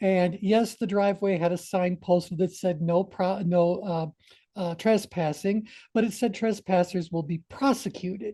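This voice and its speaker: A woman's somewhat breathy voice with a dark, mellow tone comes through over a quiet background. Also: medium pitch for a woman, moderate pace. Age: 60s. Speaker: teacher leading a group discussion. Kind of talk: group discussion. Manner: halting, many fillers.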